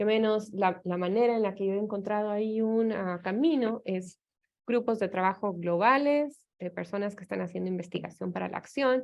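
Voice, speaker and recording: In an Ecuadorian accent, a woman speaks at a medium pitch. Her pace is moderate. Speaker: anthropologist, professor. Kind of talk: academic seminar talk. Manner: hesitant, many fillers.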